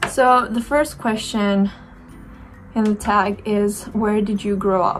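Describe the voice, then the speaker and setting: A woman with a Romanian accent speaks at a very slow pace with fairly even intonation. Music plays in the background. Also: medium pitch for a woman. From Romania, Bacău (northeast). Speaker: beauty YouTuber. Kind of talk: casual chat. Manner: hesitant, with fillers.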